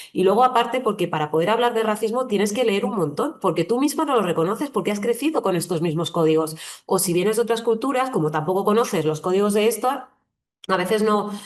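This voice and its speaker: Very fast pace with ordinary pitch variation. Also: woman. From southern Madrid, Spain. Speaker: journalist and writer. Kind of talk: online training talk. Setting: online session. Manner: conversational with hesitations.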